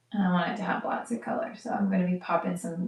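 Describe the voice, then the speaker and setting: Quiet speech with an American accent comes at a fairly quick pace with ordinary pitch variation. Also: woman. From United States. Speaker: live wedding painter. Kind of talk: live-stream painting commentary. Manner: quiet while focused; halting, with fillers.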